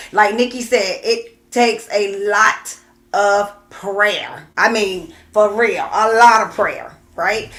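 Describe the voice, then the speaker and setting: The speech moves at a very slow pace. Background noise is noticeable. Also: woman. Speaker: co-host of a couples talk show. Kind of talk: casual livestream chat. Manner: loud, screams from working with children.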